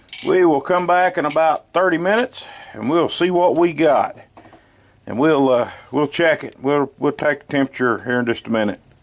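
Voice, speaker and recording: With a Southern US accent, a man at a fairly high pitch speaks at a moderate pace with ordinary pitch variation. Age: 60s. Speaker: cooking channel host. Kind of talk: cooking tutorial. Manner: casual folksy.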